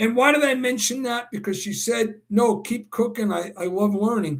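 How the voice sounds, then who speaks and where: With a New York accent, a man speaks at a fairly slow pace in a high pitch with ordinary pitch variation. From New York City (Brooklyn). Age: 60s. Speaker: horse racing handicapper and livestream host. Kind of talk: live stream Q&A chat. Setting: live video stream. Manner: enthusiastic.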